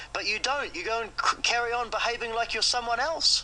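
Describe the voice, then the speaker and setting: A man's raised, projected voice, high-pitched, at a fairly quick pace with ordinary pitch variation, over noticeable background noise. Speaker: creditor confronting a debtor. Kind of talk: heated phone argument.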